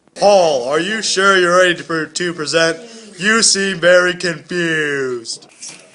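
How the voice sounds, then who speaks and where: A man's high-pitched, put-on character voice at a fairly slow pace. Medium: comedy sketch. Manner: concerned, encouraging.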